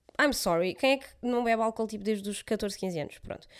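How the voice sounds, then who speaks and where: On a very clean recording with a silent background, a woman is heard speaking. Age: 20s. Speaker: podcast co-host. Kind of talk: casual chat.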